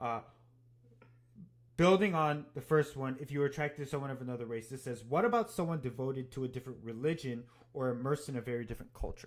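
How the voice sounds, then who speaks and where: Speaking very fast with an American accent, a man keeps a medium pitch with ordinary variation. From Japan (Tokyo), mixed heritage, also time in US. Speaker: podcast co-host. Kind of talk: casual chat. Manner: halting, repeats words.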